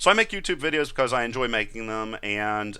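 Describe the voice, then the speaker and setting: A man's bright, sharp voice with ordinary pitch variation over a quiet background. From rural area, farm. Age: 30s. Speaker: YouTube tutorial creator; YouTube creator. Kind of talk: live Q&A stream. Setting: live video stream. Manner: unscripted, off the cuff. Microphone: headset.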